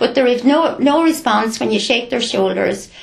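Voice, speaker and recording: A woman with an Irish accent, over noticeable background noise. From Ireland, County Carlow. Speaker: retired nurse and community volunteer. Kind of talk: interview.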